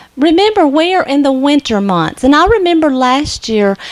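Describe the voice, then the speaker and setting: Loud and delivered at a moderate pace, this voice swings very widely in pitch with a Southern US accent. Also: woman. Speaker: nursing instructor. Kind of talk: lecture.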